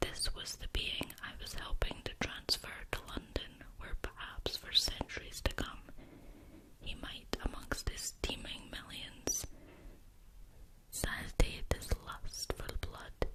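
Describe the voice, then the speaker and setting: A woman whispering at a very slow pace over noticeable background noise. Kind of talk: whispered ASMR story reading. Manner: whispering, soft.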